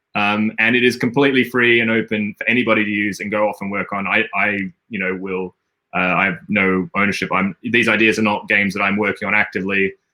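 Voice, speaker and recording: A very fast delivery in an Australian accent, bright and sharp in tone with fairly even intonation. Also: man, fairly low pitch for a man. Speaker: game designer, stream host. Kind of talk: live stream chat. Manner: halting, many fillers and repetitions.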